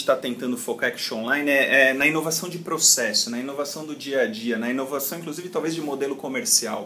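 Talking very fast at a fairly high pitch, a man is heard over noticeable background noise. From Brazil, São Paulo city. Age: 30s. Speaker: call center company CEO. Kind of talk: interview. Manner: halting, many repetitions.

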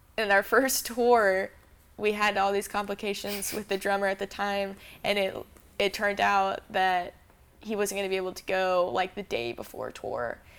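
A woman with an American accent uses an ordinary speaking voice at medium pitch with ordinary pitch variation. She keeps a moderate pace in a very clean recording with a silent background. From Arizona, Phoenix. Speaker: musician. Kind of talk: interview. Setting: office.

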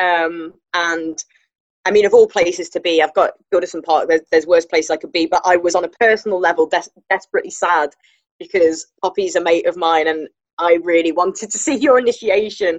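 Recorded with a dry, close sound and no echo, a woman speaks at a fairly quick pace in a fairly low pitch. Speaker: podcast co-host. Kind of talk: casual interview chat. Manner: chatty, enthusiastic.

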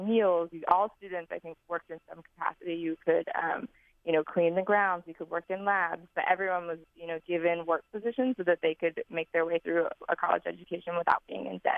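With an American accent, a woman with a fairly low pitch speaks in a plain, everyday voice at a fairly quick pace with hardly any pauses. Her intonation is fairly even, but her loudness swings widely. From US Northeast. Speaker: former scholarship intern. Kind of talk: interview. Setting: phone call.

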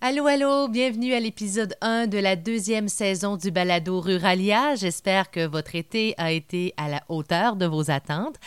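Here a woman uses an unremarkable speaking voice at a medium pitch. Her intonation is lively and her pace moderate. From Quebec, Témiscamingue. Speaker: podcast host. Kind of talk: podcast intro.

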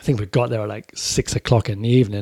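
A man with an American accent and a dark, mellow tone, fairly quick and fairly even in intonation, on a very clean recording with a silent background. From Corby, England. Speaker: author and former touring metal musician. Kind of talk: casual podcast chat. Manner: casual, swearing.

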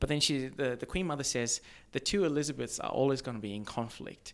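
His intonation lively, a man speaks at a fairly quick pace. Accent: Australian. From Zimbabwe. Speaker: social entrepreneur. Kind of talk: casual interview.

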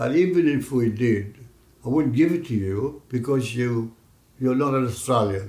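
Speaking with a Greek accent, a man uses a somewhat breathy voice at medium pitch, a moderate pace and ordinary pitch variation. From Greece. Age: 90s. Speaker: community elder, immigrant. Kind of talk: oral history interview.

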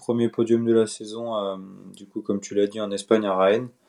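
A man speaks at a fairly quick pace in a dark, mellow tone. The background is quiet. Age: 20s. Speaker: professional cyclist. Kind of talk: casual interview.

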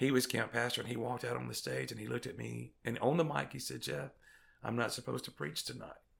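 In a Mississippi accent, a man speaks at a fairly quick pace. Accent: US Southern (Mississippi). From Mississippi Delta. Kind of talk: interview testimony.

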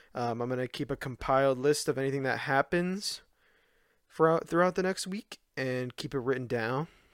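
A man with an unremarkable speaking voice, fairly high-pitched, talks at a moderate pace with ordinary pitch variation, the sound dry and close with no echo and the background silent in a very clean recording. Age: 20s. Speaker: video game collecting podcaster. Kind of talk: solo podcast monologue. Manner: casual, with frequent fillers.

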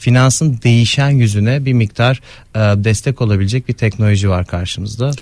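Delivered at a moderate pace, an ordinary speaking voice shows ordinary pitch variation and very even loudness on a very clean recording with a silent background. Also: man, medium pitch for a man. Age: 30s. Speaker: economist. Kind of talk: interview.

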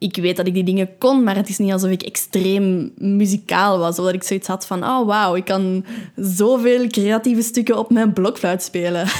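A woman with a Flemish accent speaks at a medium pitch and a moderate pace. Her intonation is fairly even, with hardly any pauses. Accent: Flemish Dutch. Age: 20s. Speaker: meditation podcaster. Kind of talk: casual monologue.

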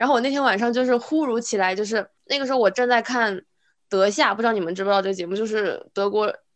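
The speaker is a woman with a fairly high pitch. She talks at a very fast pace, and her pitch varies in an ordinary way. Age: 20s. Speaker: podcast co-host. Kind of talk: casual chat.

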